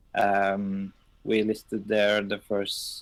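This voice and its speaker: A man speaks in a Norwegian accent with a fairly low pitch. His intonation is monotone and flat, in a very clean recording with a silent background. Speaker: game server owner. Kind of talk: live stream chat. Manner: halting, many fillers.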